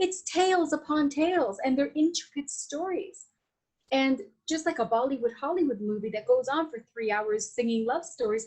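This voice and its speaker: The speaker has an animated tone and lively intonation at a moderate pace. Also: woman, high pitch for a woman. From Latin America. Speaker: Vedic astrologer and Ayurvedic practitioner. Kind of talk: podcast interview. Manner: halting with many fillers.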